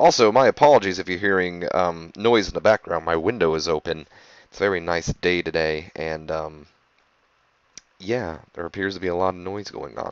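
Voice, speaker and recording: A man's very deep, low pitch with ordinary pitch variation at a moderate pace. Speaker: gaming video creator. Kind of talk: game commentary. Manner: casual, hesitant with ums.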